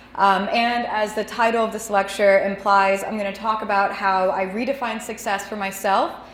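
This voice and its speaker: A woman speaks with an American accent and ordinary pitch variation. The room echo is audible, and there is noticeable background noise. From Texas (DeSoto, south of Dallas). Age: 20s. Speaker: cartoonist, editor and designer. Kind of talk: lecture. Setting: stage with audience, microphone and projector. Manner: loud, voice carries.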